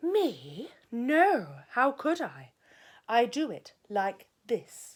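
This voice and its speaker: A woman's put-on character voice, high-pitched and very slow, with very wide pitch swings, in a very clean recording with a silent background. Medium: read story.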